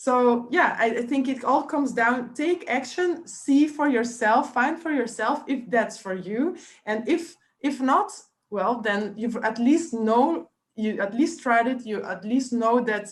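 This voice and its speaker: Speaking with a non-native accent, a woman uses a high pitch and lively intonation at a fairly slow pace. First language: not English. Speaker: online business coach. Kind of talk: live coaching webinar. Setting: live stream on Facebook. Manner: hesitant, many fillers.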